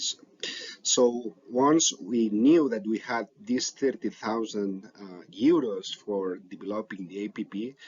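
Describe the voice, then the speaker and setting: A man with a non-native accent, medium in pitch, at a very slow pace, with big swings in loudness. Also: ordinary pitch variation. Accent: non-native English, self-described. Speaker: biomedical researcher. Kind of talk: conference talk. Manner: hesitant, with fillers and restarts.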